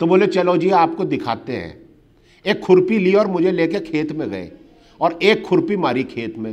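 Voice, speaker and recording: Over a quiet background, a man talks at a fairly slow pace in a high voice with lively intonation. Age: 50s. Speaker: human rights activist; speaker. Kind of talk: public talk. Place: hall.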